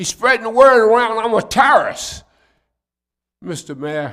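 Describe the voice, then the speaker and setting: In an American accent, a man talks at a moderate pace with a high pitch, very wide pitch swings and a bright, sharp tone. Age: 80s+. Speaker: public commenter at city council. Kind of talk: public comment plea. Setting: city council meeting.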